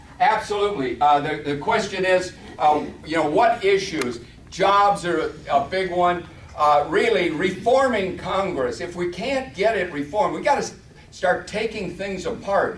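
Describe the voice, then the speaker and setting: Amid noticeable background noise and audible room echo, a man with a high pitch speaks in an animated tone at a moderate pace. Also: lively intonation. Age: 60s. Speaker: congressional candidate. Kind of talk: campaign speech with audience Q&A. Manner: halting.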